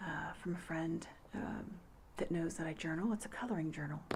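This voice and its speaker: Soft-spoken, a woman talks at a moderate pace and a fairly low pitch. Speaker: ASMR creator. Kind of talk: ASMR casual talk to camera.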